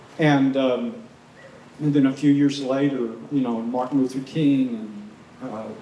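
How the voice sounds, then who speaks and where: With an American accent, a man at medium pitch talks at a moderate pace amid noticeable background noise and audible room echo. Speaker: intentional community member. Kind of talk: panel discussion. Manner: halting.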